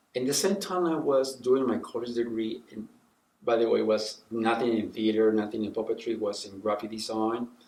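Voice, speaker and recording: Speaking at a fairly quick pace, a man with a Spanish accent uses medium pitch and ordinary pitch variation. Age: 60s. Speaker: puppeteer and professor. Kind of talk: interview. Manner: halting, with many restarts.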